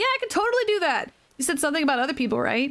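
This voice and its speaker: A squeaky, put-on character voice rushes along at a very fast pace. It has very wide pitch swings and very even loudness. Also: woman. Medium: virtual streamer. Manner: boisterous, laughing, friendly.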